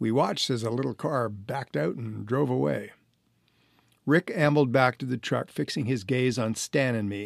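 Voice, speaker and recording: At a moderate pace, a man with an unremarkable speaking voice, medium pitch and ordinary pitch variation comes through in a dry, close recording with no echo, very clean and with a silent background. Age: 60s. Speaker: author and renovation contractor, former actor. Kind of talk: reading aloud from own memoir.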